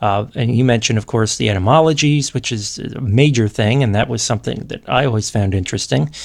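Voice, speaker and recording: A man races along at a very fast pace with hardly any pauses. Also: medium pitch for a man, ordinary pitch variation. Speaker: podcast host and Latin teacher. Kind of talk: interview.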